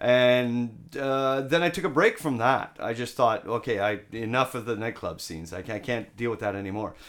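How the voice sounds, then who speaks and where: A man with a Canadian accent speaks in a normal speaking voice at medium pitch and a moderate pace, with ordinary pitch variation, on a very clean recording with a silent background. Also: hardly any pauses. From Canada, Ottawa. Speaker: English teacher and rock singer. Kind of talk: casual chat. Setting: host's apartment.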